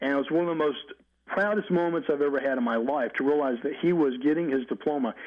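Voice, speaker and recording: A man with an Alabama accent at a fairly high pitch and a very fast pace, his loudness very even. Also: ordinary pitch variation. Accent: Southern US (Alabama). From US South, Mobile, Alabama. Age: 50s. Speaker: psychologist. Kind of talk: interview.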